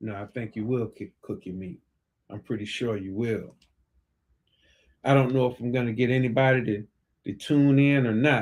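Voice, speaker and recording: At a moderate pace with long, frequent pauses, a man talks at a medium pitch with ordinary pitch variation and big swings in loudness, in a very clean recording with a silent background. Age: 60s. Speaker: financial coach and livestream host. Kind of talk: impromptu solo livestream talk. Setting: live stream. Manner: casual, conversational.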